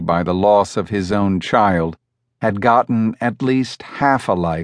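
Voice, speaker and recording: With a plain, everyday voice, a man speaks at a fairly slow pace and fairly low pitch, his pitch variation ordinary, in a dry, close sound with no echo and a quiet background. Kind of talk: audiobook narration of a horror story. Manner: measured, formal, with an ominous tone.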